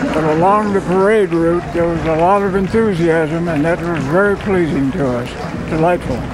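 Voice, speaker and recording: A man's high voice with an American accent at a moderate pace, ordinary pitch variation, audible room echo and noticeable background noise. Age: 90s. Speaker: war veteran. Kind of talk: interview. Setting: outdoors along parade route.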